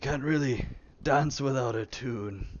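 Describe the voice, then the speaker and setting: A man uses a put-on character voice that sounds raspy, at medium pitch. He talks at a fairly slow pace with ordinary pitch variation. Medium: actual play. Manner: halting, stammering.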